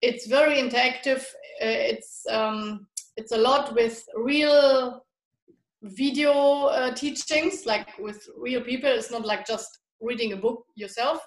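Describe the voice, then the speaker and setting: Speaking with a German accent, a woman uses a high pitch and ordinary pitch variation. Her pace is very slow. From Germany. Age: 30s. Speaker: health and nutrition coach. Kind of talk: interview.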